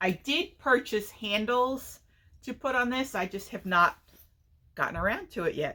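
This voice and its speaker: A woman with a high, bright, sharp voice speaks at a moderate pace, her pitch swinging very widely. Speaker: knitting and crochet podcaster. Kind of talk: casual chat.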